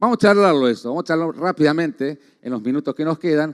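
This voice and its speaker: Speaking at a very fast pace with lively intonation, a man with a fairly high pitch sounds dry and close with no echo on a very clean recording against a silent background. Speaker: agronomy researcher. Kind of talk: conference talk. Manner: halting.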